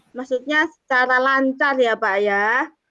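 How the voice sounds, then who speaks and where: Bright and sharp in tone, a woman speaks at a fairly slow pace with fairly even intonation, the sound dry and close with no echo. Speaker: teacher acting as coach in a coaching practice session. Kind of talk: coaching conversation and self-reflection. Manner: hesitant, many filler sounds; polite, formal.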